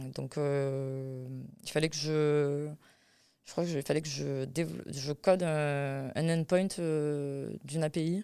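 On a very clean recording with a silent background, a woman speaks very slowly in a very deep, low voice with a dark, mellow tone, fairly even intonation and long, frequent pauses. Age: 20s. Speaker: web developer. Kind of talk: interview. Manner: halting, many repetitions and fillers.

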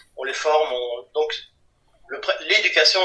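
A man talks at a moderate pace. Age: 50s. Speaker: comic book artist and writer. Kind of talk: interview. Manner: halting, repeats words.

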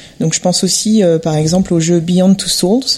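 Against noticeable background noise, a woman speaks with ordinary pitch variation. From Montreuil, Paris region, France. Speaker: interior designer, guest. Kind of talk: casual panel discussion. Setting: home living room recording.

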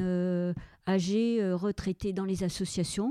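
A woman speaks very slowly in a dark, mellow, medium-pitched voice with fairly even intonation, the sound dry and close with no echo on a very clean recording with a silent background. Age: 70s. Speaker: retired senior civil servant. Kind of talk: interview. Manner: halting, frequent repetitions.

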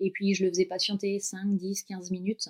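A woman speaks at a fairly slow pace. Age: 30s. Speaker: dog travel adventurer. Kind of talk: interview, personal travel story.

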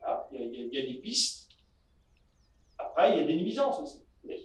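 The man speaks at a fairly slow pace. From Normandy, Bessin. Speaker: organic dairy farmer and local councillor. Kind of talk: casual interview. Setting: on his farm. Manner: hesitant, many fillers.

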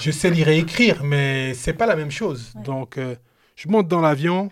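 A man speaks with a fairly high pitch and ordinary pitch variation. The pace is moderate. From Cameroon. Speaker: retired pro basketball player, youth mentor. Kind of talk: storytelling interview. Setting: live recording with his son present. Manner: animated.

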